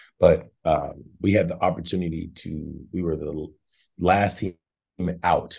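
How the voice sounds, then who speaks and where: In an Arkansas accent, a man talks with a dark, mellow tone and a very deep, low pitch. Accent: US South (Arkansas). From Northwest Arkansas. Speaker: basketball assistant coach, former NBA player. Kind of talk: interview.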